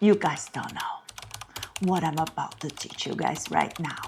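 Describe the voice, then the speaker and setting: Woman with ordinary pitch variation, over noticeable background noise. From Brazil. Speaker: cooking channel host. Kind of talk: cooking tutorial.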